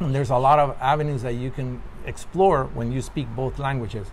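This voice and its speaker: Speaking at a fairly quick pace, a man uses a fairly high pitch and a Spanish accent. The room echo is audible, and background noise is noticeable. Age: 50s. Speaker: actor. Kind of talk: interview.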